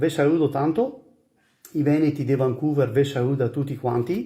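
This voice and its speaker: At a moderate pace, a man with a fairly high, somewhat breathy voice talks with ordinary pitch variation. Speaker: emigrant. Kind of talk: recorded video greeting. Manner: casual.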